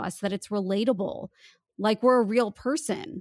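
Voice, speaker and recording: In an ordinary speaking voice, a woman talks at a moderate pace and a fairly high pitch, the sound dry and close with no echo on a very clean recording with a silent background. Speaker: voice coach and voice actor. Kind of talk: interview conversation.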